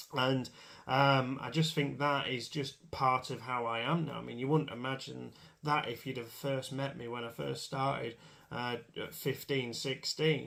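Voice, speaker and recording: With an English accent and a bright, sharp tone, a man speaks at medium pitch, fairly slowly, in monotone, flat intonation. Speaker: motorsport commentator. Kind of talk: casual monologue to camera. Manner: hesitant, many fillers.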